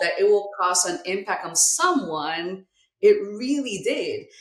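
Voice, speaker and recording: Fairly slow female speech marked by very wide pitch swings. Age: 60s. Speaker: life coach and healing nonprofit founder. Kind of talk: podcast interview.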